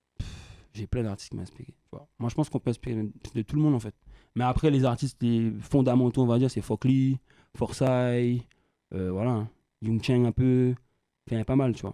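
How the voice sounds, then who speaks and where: Speaking at a fairly quick pace but with long, frequent pauses, a man uses a medium-pitched, dark and mellow voice, recorded dry and close with no echo. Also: fairly even intonation. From Guadeloupe (Le Moule). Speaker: rapper. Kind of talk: interview. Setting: studio. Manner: fast; casual slangy.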